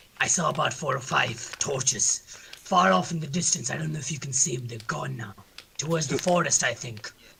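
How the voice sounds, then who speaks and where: A man puts on a gruff character voice at a fairly high pitch. He moves at a fairly quick pace, with big swings in loudness. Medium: actual play. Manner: blunt, clipped.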